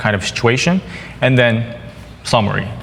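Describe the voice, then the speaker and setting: With a Korean accent, a man speaks at a moderate pace amid noticeable background noise and audible room echo. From South Korea. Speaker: software developer. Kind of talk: conference tech talk. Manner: halting, many fillers.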